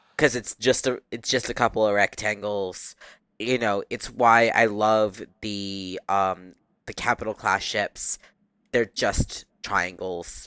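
On a very clean recording with a silent background and a dry, close sound with no echo, a man speaks at a very slow pace in a fairly low pitch with a bright, sharp tone. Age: 20s. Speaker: podcast guest. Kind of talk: casual chat. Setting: recording lying on the floor of a guest room. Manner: energetic.

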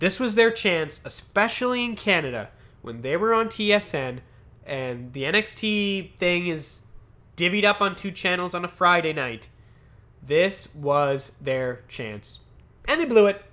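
Pitched high, a man speaks at a fairly slow pace in a bright, sharp tone. He sounds animated, and his pitch swings very widely. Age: 30s. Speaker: wrestling podcaster. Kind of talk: solo review monologue.

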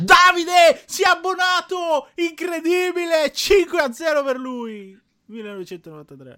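A raised, projected voice, bright and sharp in tone, with lively intonation at a very slow pace. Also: man, extremely high pitch for a man, big swings in loudness. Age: 20s. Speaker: gaming streamer. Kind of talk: casual chat.

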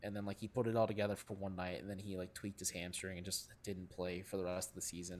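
A man speaks at a very fast pace in a very deep, low voice, with hardly any pauses. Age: 20s. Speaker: sports writer and podcaster. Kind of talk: casual chat.

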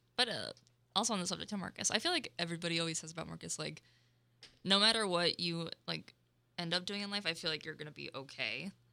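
With a bright, sharp tone and vocal fry, a woman talks at a very fast pace in a fairly low pitch, her pitch varying in an ordinary way while her loudness swings widely. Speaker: student podcast host. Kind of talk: casual chat. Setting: studio.

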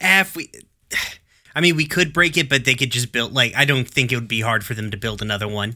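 Lively intonation and a fairly quick pace carry a bright, sharp tone on a very clean recording with a silent background. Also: man, medium pitch for a man. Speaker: tabletop roleplaying player. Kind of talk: casual chat.

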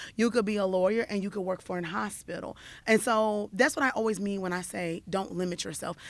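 An unremarkable speaking voice with ordinary pitch variation at a fairly quick pace on a very clean recording with a silent background. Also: woman, medium pitch for a woman. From US South, Fayetteville, North Carolina. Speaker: social worker and nonprofit leader. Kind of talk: radio interview.

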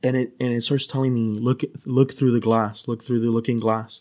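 In a very clean recording with a silent background, the speaker talks at a moderate pace in an American accent with monotone, flat intonation. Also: man. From US West Coast (San Diego, California). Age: 30s. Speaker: podcast guest. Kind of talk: casual chat; storytelling.

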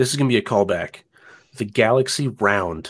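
This man has an ordinary speaking voice and an American accent. He talks at a moderate pace and medium pitch, with ordinary pitch variation. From US South. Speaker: phone enthusiast. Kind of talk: casual chat. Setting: video call.

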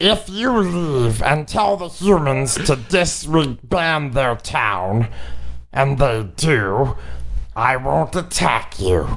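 A man puts on a character voice at a medium pitch. He speaks very slowly. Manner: stern, humorless, threatening.

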